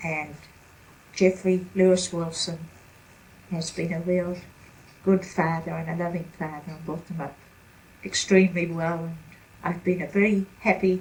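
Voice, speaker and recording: A woman with a New Zealand accent speaks at a moderate pace, with long, frequent pauses and a fairly low pitch. Her voice is somewhat breathy with monotone, flat intonation and big swings in loudness. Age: 70s. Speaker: retired grandmother interviewed about her life. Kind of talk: family interview. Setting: at home.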